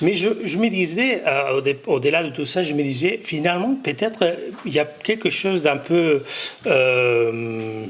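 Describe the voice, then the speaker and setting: Against noticeable background noise, a man with a fairly high pitch talks at a fairly slow pace, his pitch swinging very widely. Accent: Catalan. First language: Catalan (speaking French). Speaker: conference panelist. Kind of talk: conference closing remarks. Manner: halting, many hesitations and repetitions.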